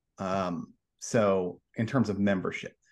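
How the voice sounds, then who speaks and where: Against a quiet background, a man with an American accent uses a normal speaking voice, fairly low in pitch with fairly even intonation. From Oklahoma, Oklahoma City area. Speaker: publisher, former journalist. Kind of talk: interview.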